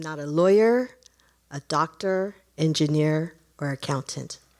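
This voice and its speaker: At a very slow pace, a woman speaks in a very deep, low pitch with ordinary pitch variation. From Los Angeles County, US (from Taiwan at 7). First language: Mandarin or Taiwanese (Chinese). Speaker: storyteller sharing personal immigrant story.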